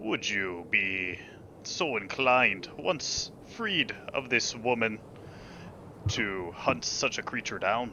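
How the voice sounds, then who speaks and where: Using a put-on character voice, a man speaks at a very slow pace. Background noise is clearly present. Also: medium pitch for a man. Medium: actual play. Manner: dry, wry.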